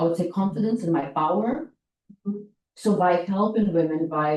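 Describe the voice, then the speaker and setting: Speaking at a fairly low pitch with ordinary variation, a woman has a dark, mellow tone. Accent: American. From outside the US, came to US as a teenager. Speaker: nonprofit founder, workshop host. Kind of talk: workshop talk, personal story. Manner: halting, many fillers.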